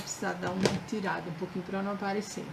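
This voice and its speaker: A woman's voice over background music. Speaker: craft instructor. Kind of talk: live craft tutorial. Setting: Facebook live stream.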